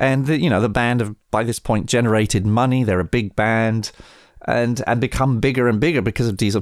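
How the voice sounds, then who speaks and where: A man with an English accent speaks at a medium pitch. The recording is very clean, with a silent background. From England. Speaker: record producer. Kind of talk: interview storytelling. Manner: halting.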